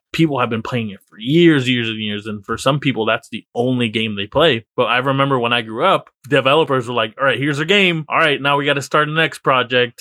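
A man with an ordinary speaking voice, medium in pitch with ordinary variation, at a fairly quick pace with hardly any pauses and big swings in loudness. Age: 20s. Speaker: podcast co-host. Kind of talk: casual chat.

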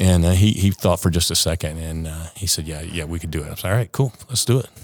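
A man's very deep, low voice with an American accent at a fairly quick pace. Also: very clean recording, silent background. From US South, Savannah, Georgia. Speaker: retired Coast Guard helicopter pilot. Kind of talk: storytelling interview. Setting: on location at an aviation association venue.

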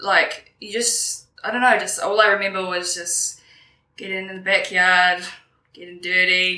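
A woman with a New Zealand accent, medium in pitch, bright and sharp in tone, with fairly even intonation at a fairly slow pace. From New Zealand, Kapiti Coast. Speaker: interview guest. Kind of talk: casual interview.

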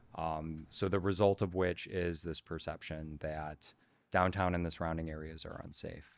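The recording is very clean with a silent background. A man with an American accent speaks at a moderate pace in a very deep, low pitch with monotone, flat intonation. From Chicago, north side. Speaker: real estate broker. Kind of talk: interview.

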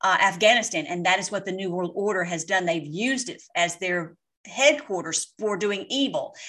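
Pitch variation here is ordinary. It is a plain, everyday voice. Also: woman. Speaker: online political commentator. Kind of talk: casual commentary over replayed clips. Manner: rambling, repetitive with many fillers; fervent, ends in prayer.

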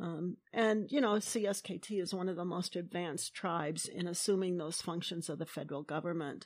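On a very clean recording with a silent background, a woman uses a plain, everyday voice, fairly low in pitch with ordinary pitch variation, talking at a fairly quick pace with hardly any pauses. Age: 60s. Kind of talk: interview.

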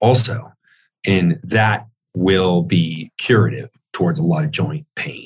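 A man speaks with lively intonation and some vocal fry. The sound is dry and close, with no echo. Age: 40s. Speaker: author and fitness researcher. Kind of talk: interview.

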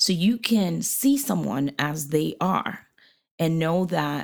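A woman's fairly low voice with vocal fry, on a very clean recording with a silent background. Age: 40s. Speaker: podcast co-host, pastor's wife. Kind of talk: casual chat. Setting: guest apartment in New Hampshire.

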